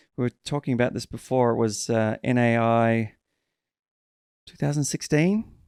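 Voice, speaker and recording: In an Australian accent, a man speaks at a medium pitch and moderate pace, with ordinary pitch variation, big swings in loudness and long, frequent pauses, in a dry, close sound with no echo. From Western Australia, Perth. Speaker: podcast host and actor. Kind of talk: casual chat.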